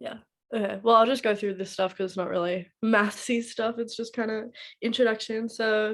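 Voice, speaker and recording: Her fairly high-pitched voice stays monotone, with flat intonation throughout. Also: moderate pace, very clean recording, silent background. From USA. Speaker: tutor. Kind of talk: lecture. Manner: casual.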